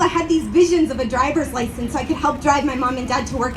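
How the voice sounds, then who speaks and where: With noticeable background noise behind her, a woman with an American accent speaks in a shaky voice with lively intonation. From grew up in the US, family from Uruguay. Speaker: community organizer. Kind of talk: rally speech.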